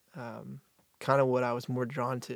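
Captured on a very clean recording with a silent background, a man with an American accent speaks at a medium pitch in a monotone, flat intonation. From US South, North Carolina (Apex). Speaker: singer-songwriter. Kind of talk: casual interview.

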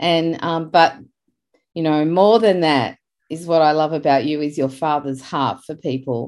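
A woman speaks with an Australian accent at a fairly slow pace. Her pitch is very deep and low, with ordinary pitch variation. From Australia (Sydney area). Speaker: podcast host. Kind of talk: casual faith-based interview. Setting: video call. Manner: animated.

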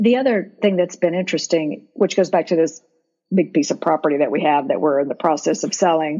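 This woman has a fairly low pitch and an ordinary speaking voice. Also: fairly quick pace, very even loudness. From Florida. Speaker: real estate investor and lawyer. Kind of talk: casual interview conversation.

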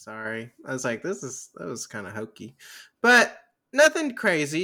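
A man's bright, sharp voice with vocal fry, very wide pitch swings and a moderate pace, on a very clean recording over a silent background. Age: 20s. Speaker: movie podcast host. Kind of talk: casual chat. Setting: Twitch stream. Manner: laughs often.

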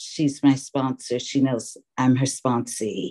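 Recorded with a dry, close sound and no echo, a woman with an American accent speaks in a very deep, low pitch and a dark, mellow tone. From New York City. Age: 50s. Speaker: recovering alcoholic and meeting chair. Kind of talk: recovery meeting share. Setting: online video meeting.

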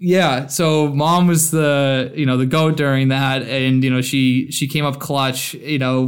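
A man with a Boston accent speaks at a medium pitch in a monotone, flat way. The recording is very clean, with a silent background. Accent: Boston American. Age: 20s. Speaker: content creator and gluten-free advocate. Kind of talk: casual interview.

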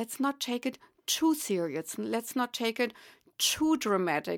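A woman speaks with a German accent at a fairly slow pace. The recording is very clean with a silent background and a dry, close sound with no echo. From Germany. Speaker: psychic medium. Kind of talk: interview.

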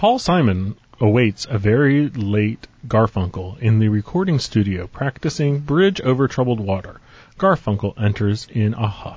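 This man's medium-pitched voice is somewhat breathy, with lively intonation. He keeps a moderate pace and very even loudness. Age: 30s. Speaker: comedian. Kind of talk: casual comedic chat.

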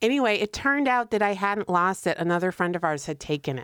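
Recorded very cleanly against a silent background, with a dry, close sound and no echo, a woman with an American accent talks at a fairly quick pace in an ordinary speaking voice, her intonation lively. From Connecticut. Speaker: podcast co-host. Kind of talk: casual chat.

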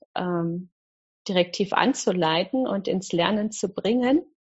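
A woman is speaking. Her voice carries vocal fry. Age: 50s. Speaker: mindfulness teacher. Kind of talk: interview.

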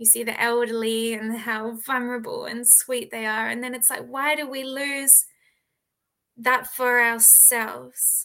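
A woman's high voice with an Australian accent, monotone and flat, at a fairly slow pace. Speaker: author. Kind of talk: interview.

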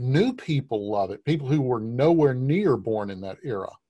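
A man's somewhat breathy, dark, mellow voice at medium pitch, with ordinary pitch variation against a quiet background. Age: 50s. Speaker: podcast host and portrait painter. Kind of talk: interview conversation.

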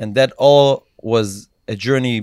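The speaker has an Israeli accent and fairly even intonation. The sound is dry and close, with no echo. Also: man. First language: Hebrew. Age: 20s. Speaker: social media influencer. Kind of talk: casual interview chat. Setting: studio.

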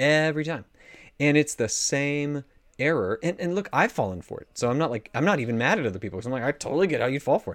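A man with an American accent, very fast pace and lively intonation, on a very clean recording with a silent background. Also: fairly high pitch for a man. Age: 30s. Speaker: pastor and author. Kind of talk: casual interview.

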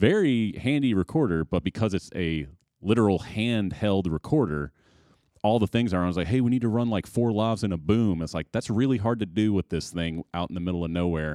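A man's a plain, everyday voice in an American accent, fairly low in pitch, with lively intonation at a fairly quick pace, on a very clean recording with a silent background and a dry, close sound with no echo. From Chicago suburbs. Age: 30s. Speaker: filmmaker and film school graduate. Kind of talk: casual chat.

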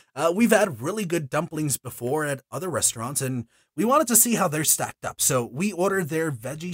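Animated and with very wide pitch swings, the speech comes in an American accent with a dry, close sound and no echo. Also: man. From Houston, Texas. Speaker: podcaster and voice actor. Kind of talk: scripted narration.

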